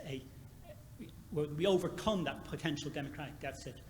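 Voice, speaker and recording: A man with a fairly high pitch talks at a very fast pace amid noticeable background noise and audible room echo. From Ireland. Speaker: university administrator. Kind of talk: conference Q&A comment.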